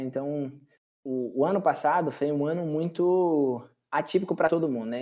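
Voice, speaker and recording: With an unremarkable speaking voice, a man talks at a fairly high pitch with ordinary pitch variation. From Brazil, western Bahia. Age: 30s. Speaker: tech professional. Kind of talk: interview.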